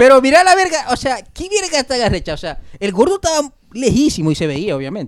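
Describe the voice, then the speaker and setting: Talking at a very fast pace, a man's voice shows very wide pitch swings. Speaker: podcast guest. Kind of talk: casual chat.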